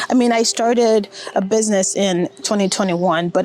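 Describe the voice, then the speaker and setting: Amid noticeable background noise, a woman of medium pitch speaks with an American accent at a fairly slow pace, with ordinary pitch variation. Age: 30s. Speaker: vlogger. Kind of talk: personal vlog monologue. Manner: reflective, conversational.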